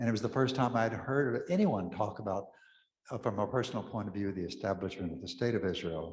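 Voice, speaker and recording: Amid audible room echo, a man with an American accent speaks at a medium pitch with ordinary pitch variation. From West Texas (Pecos). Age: 80s+. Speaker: Episcopal priest. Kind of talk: talk to an audience.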